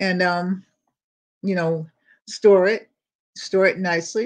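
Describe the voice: A slow-paced woman's voice, fairly low in pitch, with fairly even intonation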